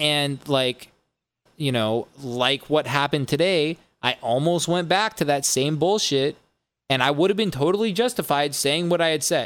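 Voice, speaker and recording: At a moderate pace, a man speaks in an ordinary speaking voice with a fairly high pitch and ordinary pitch variation. His loudness stays very even on a very clean recording with a silent background. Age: 20s. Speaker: music producer and DJ hosting a podcast. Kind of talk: casual chat. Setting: live-streamed podcast.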